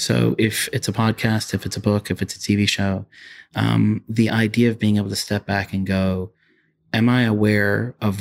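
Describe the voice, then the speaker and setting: On a very clean recording with a silent background and a dry, close sound with no echo, a man speaks in a calm tone at a moderate pace, fairly low in pitch, with monotone, flat intonation. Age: 40s. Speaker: functional neurologist. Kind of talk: interview.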